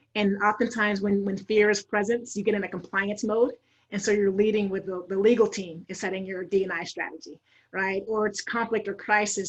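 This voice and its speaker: A woman speaks at a medium pitch and a fairly quick pace, her voice somewhat breathy and her intonation flat and monotone, against a quiet background. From Idaho, US. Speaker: diversity and inclusion consultant. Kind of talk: panel interview.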